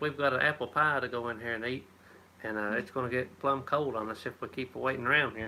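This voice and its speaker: With an Appalachian accent, a man talks at a fairly quick pace, his medium-pitched voice bright and sharp in tone. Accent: Appalachian, like Tennessee. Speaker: homesteader. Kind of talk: live stream chat. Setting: live stream at home. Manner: casual, halting.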